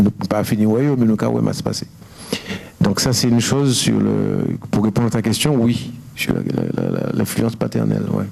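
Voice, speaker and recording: Amid noticeable background noise and audible room echo, a man speaks with long, frequent pauses. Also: moderate pace. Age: 60s. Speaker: painter. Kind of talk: interview at public talk. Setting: university lecture hall with audience. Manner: halting, many repetitions.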